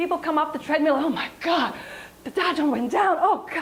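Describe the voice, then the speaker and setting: A woman's animated, fairly quick speech over noticeable background noise. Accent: French. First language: French. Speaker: wellness coach and yoga teacher. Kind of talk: health talk to audience.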